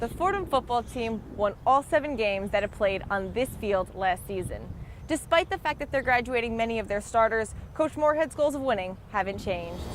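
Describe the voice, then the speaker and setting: A woman with an ordinary speaking voice talks at a moderate pace, her pitch fairly high and her intonation lively. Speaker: sports reporter. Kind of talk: TV news package narration.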